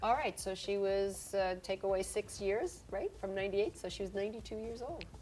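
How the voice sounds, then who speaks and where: A woman with an unremarkable speaking voice talks at a fairly quick pace with hardly any pauses. Her pitch is medium, with fairly even intonation. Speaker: supermodel, actress, and health expert. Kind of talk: interview questions.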